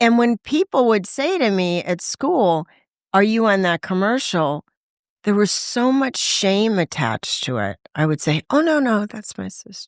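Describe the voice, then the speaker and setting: A woman with an American accent talks at a fairly slow pace, her pitch swinging very widely. The sound is dry and close, with no echo. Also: medium pitch for a woman, very clean recording, silent background. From Los Angeles, US West Coast. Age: 60s. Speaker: voice actor and recovering addict. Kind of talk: testimony.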